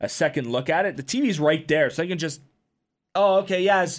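The background is silent and the recording very clean. A man speaks fairly quickly. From Windsor, Ontario, Canada. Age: 20s. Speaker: hockey podcast host. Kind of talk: casual chat.

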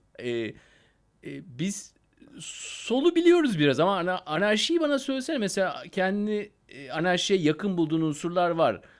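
Recorded very cleanly against a silent background, a man talks at a moderate pace in a high pitch with very wide pitch swings. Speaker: podcast host. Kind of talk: casual interview.

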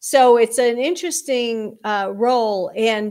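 The recording is very clean, with a silent background. A woman speaks at a high pitch. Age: 60s. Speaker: customer experience consultant. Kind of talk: interview. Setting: live video stream.

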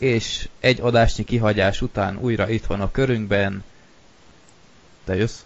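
A man's fairly low voice in a bored tone, monotone and flat, at a fairly slow pace with long, frequent pauses. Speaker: podcast host. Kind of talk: casual chat. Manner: monotone, bored-sounding; hesitant with filler sounds.

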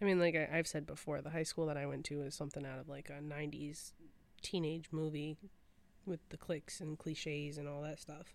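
A woman with a Michigan accent speaks at a very deep, low pitch with monotone, flat intonation. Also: fairly quick pace. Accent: US Midwest (Michigan). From Michigan, Clarkston suburbs. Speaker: podcast co-host. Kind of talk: casual chat.

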